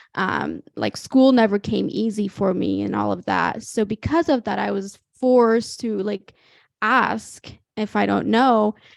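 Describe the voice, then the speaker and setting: A woman with a Midwestern accent speaks at a fairly slow pace in a dry, close sound with no echo. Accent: American Midwest. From Ethiopia, then small-town Illinois. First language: Amharic or other Ethiopian language. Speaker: young entrepreneur. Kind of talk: interview conversation. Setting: video call. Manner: hesitant, lots of fillers.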